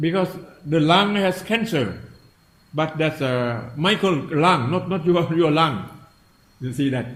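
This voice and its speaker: In a room with audible echo, a man with a fairly high pitch and lively intonation speaks at a fairly slow pace, with long, frequent pauses. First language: Thai. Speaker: meditation teacher. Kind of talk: dharma talk. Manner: halting.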